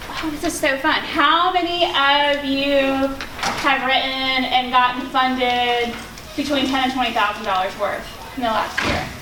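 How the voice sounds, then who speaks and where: A woman with a high pitch and ordinary pitch variation speaks in a raised, projected voice at a fairly slow pace, amid audible room echo and noticeable background noise. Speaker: nonprofit founder and grant writer. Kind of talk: conference workshop presentation. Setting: conference room with audience and projector. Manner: loud; informal.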